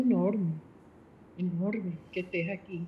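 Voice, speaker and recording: A woman's somewhat breathy voice at a very slow pace. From Venezuela. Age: 70s. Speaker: panel speaker. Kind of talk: panel discussion.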